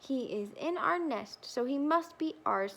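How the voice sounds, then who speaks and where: A woman puts on a character voice, high in pitch and delivered at a fairly slow pace. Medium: read story.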